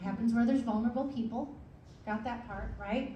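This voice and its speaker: A woman's high voice comes through with audible room echo and noticeable background noise. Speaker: chaplain giving a talk. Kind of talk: presentation to a club meeting. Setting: meeting room with audience, microphone.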